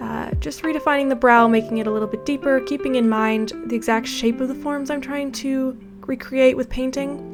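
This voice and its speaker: Soft-spoken and fairly high in pitch, a woman talks at a fairly quick pace with hardly any pauses while music plays in the background. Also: ordinary pitch variation. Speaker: 3D artist. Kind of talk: software tutorial narration.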